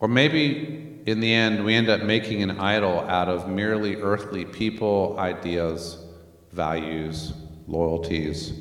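With an American accent, a man with a fairly low pitch speaks at a very slow pace amid noticeable background noise and audible room echo. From Northern Virginia, US. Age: 50s. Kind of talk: church teaching session. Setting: church, livestreamed. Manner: hesitant, many fillers.

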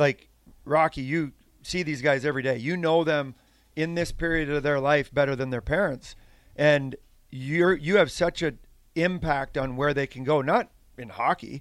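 A normal speaking voice from a man with a Canadian accent, fairly high in pitch with ordinary pitch variation, at a moderate pace in a very clean recording with a silent background. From Saskatchewan, Canada. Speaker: former pro hockey player and coach. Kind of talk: casual chat.

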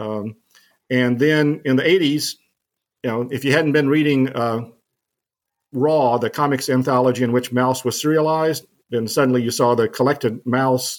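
A man with a normal speaking voice talks at a medium pitch and moderate pace, with ordinary pitch variation, on a very clean recording with a silent background. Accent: American. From US South, New Orleans. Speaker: professor. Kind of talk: interview.

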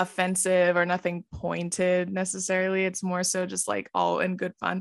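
Against a quiet background, a woman with a normal speaking voice talks at medium pitch and a moderate pace. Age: 20s. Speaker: social media creator. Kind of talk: casual chat.

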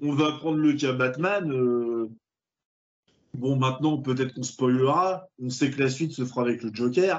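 A man talks at a medium pitch in a plain, everyday voice. He speaks fairly slowly, with ordinary pitch variation. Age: 30s. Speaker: film podcast host. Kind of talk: casual chat.

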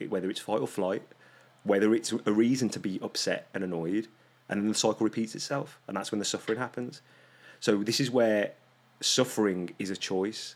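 A man with a British accent, fairly low in pitch, with fairly even intonation. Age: 30s. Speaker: holistic health coach and life mentor. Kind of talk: casual chat.

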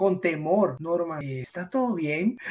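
His intonation rises and falls in a lively way. The man keeps a fairly slow pace. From Guatemala, Esquipulas. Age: 50s. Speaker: weight-loss guest, fitness coach. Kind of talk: casual interview chat.

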